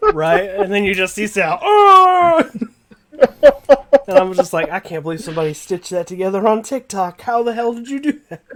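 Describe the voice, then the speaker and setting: A man's raised, projected voice, high-pitched and animated, with lively intonation, big swings in loudness and an American accent. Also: moderate pace. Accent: Southern US accent, slight, thick when angry. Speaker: YouTuber, card game channel host. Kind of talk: casual interview chat.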